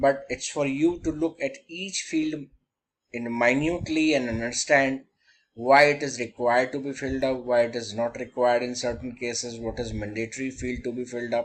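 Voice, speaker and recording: In an ordinary speaking voice, a man talks at a moderate pace and medium pitch with fairly even intonation against a quiet background. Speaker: banking software trainer. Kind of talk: tutorial.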